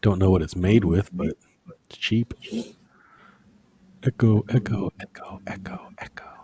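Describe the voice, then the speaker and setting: A man speaks at a fairly slow pace and a fairly low pitch, with long, frequent pauses and fairly even intonation. His dark, mellow voice is somewhat breathy, swings widely in loudness, and sounds dry and close with no echo. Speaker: livestream host. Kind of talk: casual chat. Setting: livestream. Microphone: mic turned way down, close to mouth; echo on the stream audio.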